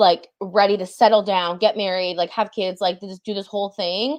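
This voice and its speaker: With an American accent, a woman speaks at a medium pitch and moderate pace with ordinary pitch variation, in a plain, everyday voice. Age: 20s. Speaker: book content creator. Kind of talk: casual chat.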